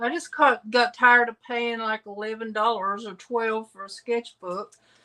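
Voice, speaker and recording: Speaking in a Southern US accent, a woman has a bright, sharp tone with a fairly high pitch and ordinary pitch variation. Her loudness swings widely at a moderate pace. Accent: Southern US, persistent. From US South and Midwest, Illinois then Tennessee. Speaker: craft video creator. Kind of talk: casual chat. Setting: livestream video call.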